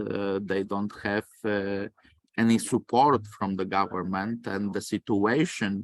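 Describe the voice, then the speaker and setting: In a Polish accent, the speaker talks fairly slowly with a monotone, flat intonation, on a very clean recording with a silent background and a dry, close sound with no echo. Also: man. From Poland. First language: Polish or Romani. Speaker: lecturer. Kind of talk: lecture. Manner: halting, many fillers.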